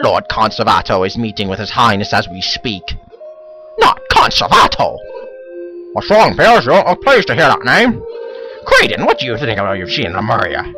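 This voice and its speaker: With clear music in the background, someone performs a put-on character voice at a moderate pace. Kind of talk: comic overacting. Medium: solo performance. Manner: exaggerated, mock-formal.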